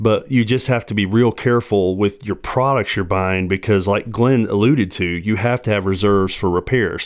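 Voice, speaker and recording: An ordinary speaking voice moves at a moderate pace with hardly any pauses and fairly even intonation. The recording is very clean with a silent background. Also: man, fairly low pitch for a man. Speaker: real estate investor. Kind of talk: casual chat. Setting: studio.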